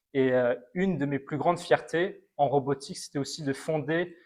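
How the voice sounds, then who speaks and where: Here a man uses an ordinary speaking voice at a fairly high pitch. His intonation stays fairly even, and his pace is fairly slow. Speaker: robotics alumnus. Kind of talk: testimony interview.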